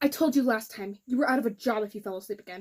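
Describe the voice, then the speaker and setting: A woman's put-on, growling character voice, fairly high-pitched, with ordinary pitch variation, big swings in loudness and a very fast pace. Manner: growling, threatening.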